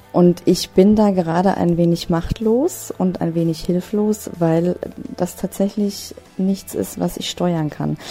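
Over noticeable background noise, a woman with a fairly low pitch speaks at a very slow pace with fairly even intonation. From Hesse, near Frankfurt am Main. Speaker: travel blogger and freelance online marketer. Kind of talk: interview.

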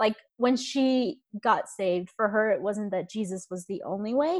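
A woman with an unremarkable speaking voice, fairly high pitch, ordinary pitch variation, and an American accent, at a fairly quick pace. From India, raised in US from age five. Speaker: ex-Evangelical social media creator. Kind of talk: casual interview chat.

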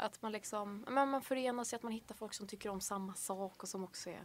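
Using a normal speaking voice, a woman talks at a fairly quick pace in a medium pitch with ordinary pitch variation. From Swedish west coast, Bohuslän. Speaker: university student. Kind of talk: casual chat.

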